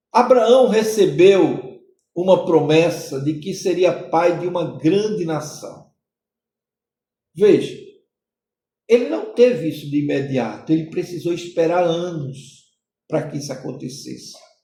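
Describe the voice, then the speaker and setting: A man's high voice with a dark, mellow tone, lively intonation, a fairly slow pace, long, frequent pauses, big swings in loudness, and audible room echo. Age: 60s. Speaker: pastor. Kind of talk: sermon-style podcast teaching.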